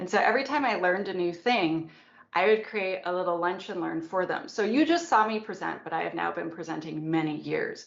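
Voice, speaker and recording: A woman talks at a fairly quick pace with vocal fry and ordinary pitch variation, with audible echo in the room. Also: medium pitch for a woman. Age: 40s. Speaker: security expert and author. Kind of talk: conference talk and Q&A. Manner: animated.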